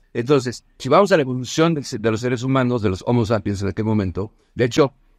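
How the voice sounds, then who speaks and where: Fairly quick speech with ordinary pitch variation, a dry, close sound with no echo and a quiet background. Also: man. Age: 50s. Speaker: business consultant. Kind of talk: casual chat. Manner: halting.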